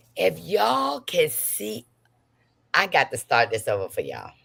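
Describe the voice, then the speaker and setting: A woman's voice with an animated tone. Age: 60s. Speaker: gossip livestream host. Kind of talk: casual livestream chat.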